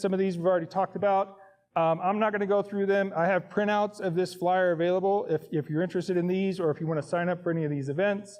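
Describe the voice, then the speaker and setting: Against a quiet background, a man with a high voice speaks at a very fast pace, his intonation fairly even. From Indiana. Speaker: scout volunteer leader. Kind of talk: presentation.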